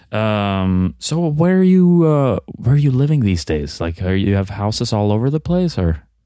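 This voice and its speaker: Talking at a moderate pace with hardly any pauses, a man uses a dark, mellow tone at a fairly low pitch, with very wide pitch swings. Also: very clean recording, silent background. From Sweden. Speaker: podcast host. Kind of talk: improvised comedy interview. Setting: studio.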